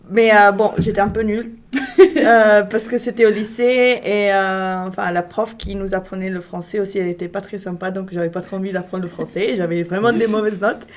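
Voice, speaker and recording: Fairly even intonation marks a woman's speech, with noticeable background noise behind her. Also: medium pitch for a woman, moderate pace. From Italy. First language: Italian (speaking French). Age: 20s. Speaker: international student. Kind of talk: casual chat. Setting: live stream.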